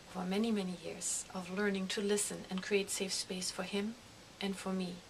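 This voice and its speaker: At a moderate pace, a woman with a medium-pitched voice speaks over noticeable background noise. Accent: German. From Germany. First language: German. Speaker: grief counselor. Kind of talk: direct appeal to viewers; personal testimony to camera.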